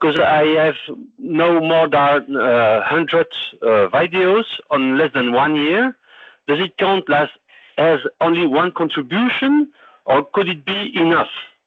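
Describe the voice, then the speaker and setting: Speaking with a French accent, a man with a fairly high pitch talks at a fairly slow pace with lively intonation. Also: very even loudness. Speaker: webinar attendee, YouTube creator. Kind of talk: question in live webinar. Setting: online webinar.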